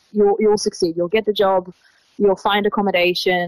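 With an Australian accent, a woman talks in fairly even intonation. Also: dry, close sound with no echo. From Israel, Tel Aviv. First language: Hebrew. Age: 20s. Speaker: traveler. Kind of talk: interview.

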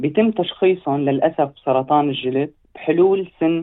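In a Syrian accent, a man speaks at a fairly slow pace. His pitch variation is ordinary. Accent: Levantine Syrian Arabic. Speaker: medical student. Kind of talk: interview. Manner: halting.

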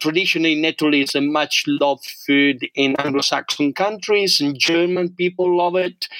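Recorded dry and close with no echo but with noticeable background noise, a man speaks at a moderate pace in a fairly high pitch, with fairly even intonation, very even loudness and hardly any pauses. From Italy, rural. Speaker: forager. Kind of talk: interview.

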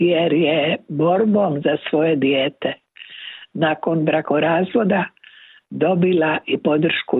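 A woman with a fairly low pitch talks at a very slow pace, her pitch varying in an ordinary way. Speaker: correspondent. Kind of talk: news report.

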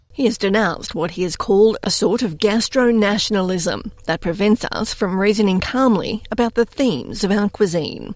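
At a moderate pace, a woman with a medium pitch and ordinary pitch variation talks in an ordinary speaking voice. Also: hardly any pauses. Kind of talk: news reading. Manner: formal, measured newsreader delivery; clear, steady, even pacing.

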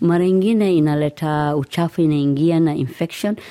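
On a very clean recording with a silent background, a woman with a Somali accent speaks at a moderate pace in a very deep, low pitch, her tone dark and mellow and her intonation fairly even. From Somalia. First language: Somali (speaking Swahili). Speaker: teacher and community educator. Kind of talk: interview. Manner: halting.

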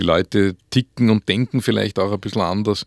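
In an Upper Austrian accent, a man speaks at a fairly low pitch. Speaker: author. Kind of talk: radio interview. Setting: studio. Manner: halting.

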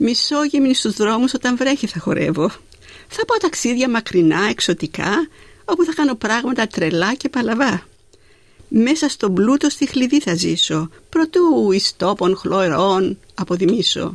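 Speaking at a fairly slow pace, a woman uses a fairly high pitch with very wide pitch swings. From Greece, Zakynthos. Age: 80s+. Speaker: poet. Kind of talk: poetry reading. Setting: studio.

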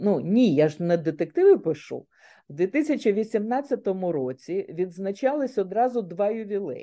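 Against a quiet background, a woman speaks at a very slow pace in a dark, mellow tone. Her medium-pitched voice swings very widely in pitch. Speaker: author, retired banker. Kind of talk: radio interview.

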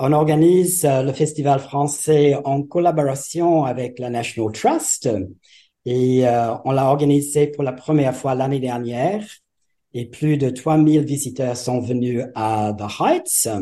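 A man with an English accent, a dark, mellow tone, fairly high pitch, fairly even intonation and a very slow pace. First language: English (speaking French). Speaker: retired French teacher, festival organiser. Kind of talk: interview.

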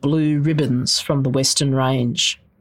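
Spoken with an Australian accent, the clip is a very clean recording with a silent background. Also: woman. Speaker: novelist. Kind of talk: literary novel reading aloud. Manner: measured, lyrical, slow-paced reading.

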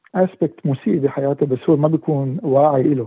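Fairly high pitch for a man, a plain, everyday voice, moderate speed. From Syria. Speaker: musician and former dentist. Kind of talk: interview.

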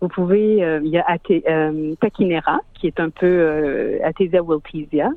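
With a fairly low pitch, a woman talks using ordinary pitch variation. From Quebec, Montreal. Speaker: singer. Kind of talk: radio interview. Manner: hesitant, with fillers.

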